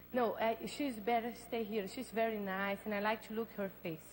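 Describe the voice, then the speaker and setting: A woman speaks in a fairly high, somewhat breathy voice with a Brazilian Portuguese accent. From Brazil, Belém. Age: 20s. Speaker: beauty pageant contestant. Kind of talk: live pageant interview. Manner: halting.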